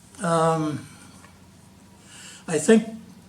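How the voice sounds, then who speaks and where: A man speaks with lively intonation, his voice carrying audible room echo. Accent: American. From Wisconsin, US Midwest. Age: 90s. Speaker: war veteran. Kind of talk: interview. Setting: at home, filmed by daughter.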